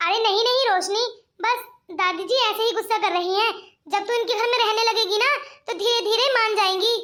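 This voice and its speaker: A woman puts on a cartoonish character voice at an extremely high pitch. She talks at a fairly quick pace. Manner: chatty, warm.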